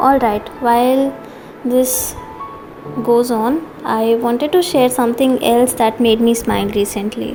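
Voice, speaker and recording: The intonation is fairly even. Noticeable background noise can be heard. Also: woman. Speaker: art teacher. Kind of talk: tutorial. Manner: gentle.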